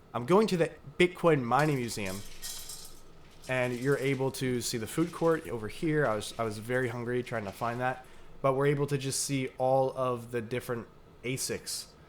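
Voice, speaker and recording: Ordinary pitch variation from a man at medium pitch. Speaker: crypto YouTuber. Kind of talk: casual vlog narration. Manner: fast.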